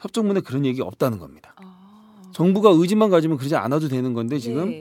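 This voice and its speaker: The recording is very clean with a silent background. A man with a fairly high pitch talks at a fairly quick pace, his pitch swinging very widely. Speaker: podcast host. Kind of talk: casual chat. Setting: studio.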